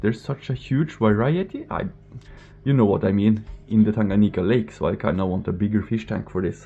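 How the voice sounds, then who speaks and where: A fairly low-pitched man with a Norwegian accent, fairly quick pace and ordinary pitch variation. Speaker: fishkeeping vlogger. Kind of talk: casual vlog tour. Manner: halting, stumbling over words.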